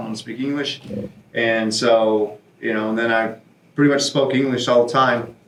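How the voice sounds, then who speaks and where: There is noticeable background noise as a man with an American accent speaks at a moderate pace, with medium pitch and ordinary pitch variation. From South Texas, Mexican border. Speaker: retired expat. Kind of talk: casual chat. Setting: studio.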